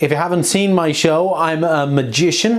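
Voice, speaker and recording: A man with a slight Irish accent speaks at a moderate pace with ordinary pitch variation. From Ireland, Dublin. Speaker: magician and street performer. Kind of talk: introducing the next act; stage comedy magic show.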